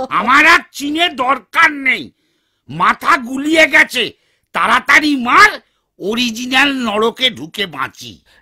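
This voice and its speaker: A high-pitched, cartoonish character voice moves at a very slow pace. The recording is very clean with a silent background. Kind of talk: comic overacting. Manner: loud, grumbling, bragging.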